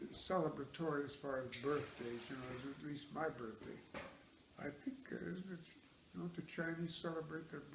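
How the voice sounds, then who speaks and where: A man talks at a fairly high pitch and a moderate pace. His pitch varies in an ordinary way, with noticeable background noise. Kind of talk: interview answer. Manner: quiet, soft-spoken.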